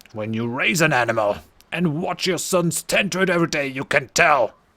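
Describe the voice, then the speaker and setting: Shouting in an angry tone, a man uses a put-on character voice at a fairly high pitch, captured on a very clean recording with a silent background. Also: moderate pace. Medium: game stream. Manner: angry, shouting.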